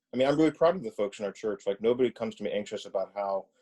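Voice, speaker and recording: Recorded dry and close with no echo, a man speaks at a medium pitch in a dark, mellow tone. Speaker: pastor. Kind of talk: casual chat. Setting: video call.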